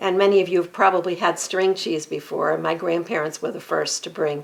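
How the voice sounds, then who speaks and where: Noticeable background noise sits under this moderate-paced speech. The intonation is fairly even. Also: woman. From US Northeast, Merrimack Valley, Massachusetts. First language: Armenian. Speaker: real estate agent. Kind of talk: podcast interview.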